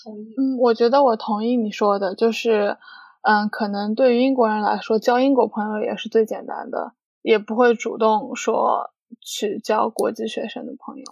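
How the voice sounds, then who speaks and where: At a moderate pace, a woman with an ordinary speaking voice speaks in a fairly high pitch with fairly even intonation. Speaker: international student. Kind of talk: casual chat.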